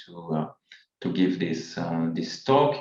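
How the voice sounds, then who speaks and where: A man speaks at a moderate pace. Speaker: demography professor. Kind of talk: lecture. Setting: video call. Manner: hesitant, many fillers.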